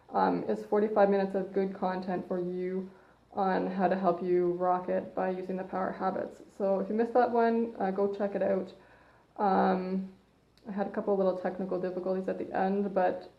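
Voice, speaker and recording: This woman talks at a moderate pace in a Canadian accent, her pitch medium. Her intonation is monotone and flat, and room echo is audible. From Canada. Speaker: personal trainer. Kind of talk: live stream talk. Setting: Facebook live broadcast. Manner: loud. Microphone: phone mic, hard to hear.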